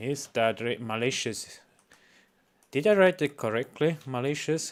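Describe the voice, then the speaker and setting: With a Swiss accent, a man speaks at a medium pitch and a fairly slow pace. His intonation is lively, and the recording is very clean with a silent background. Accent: Swiss non-native English. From Switzerland. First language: not English. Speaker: reaction streamer. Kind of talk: reaction stream, casual. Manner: halting, many fillers.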